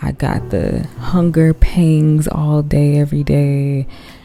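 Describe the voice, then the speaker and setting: Soft-spoken and relaxed in tone, a woman with an American accent speaks at a very slow pace. Music plays in the background. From Chicago. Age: 20s. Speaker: artist and content creator. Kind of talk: sleep-aid ASMR talk while drawing. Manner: soft-spoken, relaxed, slow.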